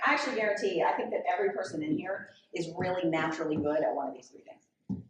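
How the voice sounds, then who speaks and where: Audible room echo surrounds a woman speaking very fast with very wide pitch swings. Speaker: author and podcaster. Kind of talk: public conversation, Q&A. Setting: library event with live audience. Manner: loud.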